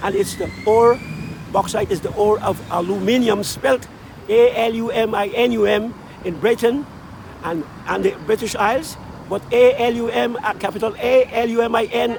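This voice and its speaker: With ordinary pitch variation and a moderate pace, a high-pitched man speaks over noticeable background noise. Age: 70s. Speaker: street musician. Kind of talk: oral history interview. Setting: outdoors at a busy street intersection.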